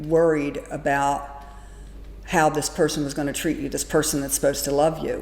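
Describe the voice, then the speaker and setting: Through audible room echo comes a woman's very deep, low voice in a monotone, flat intonation. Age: 60s. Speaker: domestic abuse survivor. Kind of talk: testimony.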